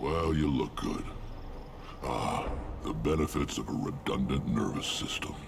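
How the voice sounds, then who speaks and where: Loud background noise runs under a man's put-on character voice. He keeps a moderate pace with long, frequent pauses. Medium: video game. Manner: gruff, blunt.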